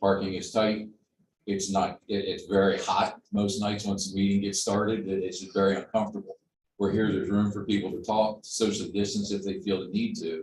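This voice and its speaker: A somewhat breathy delivery with monotone, flat intonation. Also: man, fairly low pitch for a man, fairly quick pace. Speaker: resident speaking at public meeting. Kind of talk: public comment.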